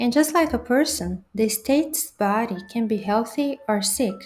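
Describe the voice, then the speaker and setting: A woman's high-pitched voice with a non-native accent and lively intonation. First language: not English. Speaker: linguistics educator, video essayist. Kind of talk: educational video narration.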